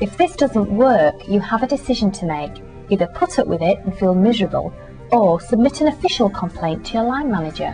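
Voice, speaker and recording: Music in the background behind a woman's fairly quick delivery. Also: medium pitch for a woman, lively intonation. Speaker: voice-over artist and agony aunt / life coach. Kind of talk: agony aunt advice reading.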